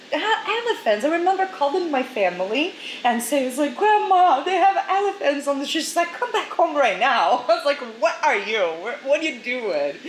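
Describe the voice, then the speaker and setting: A woman speaks at a moderate pace and high pitch with very wide pitch swings, over noticeable background noise. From Brazil. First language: Portuguese. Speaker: model agency director. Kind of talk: interview.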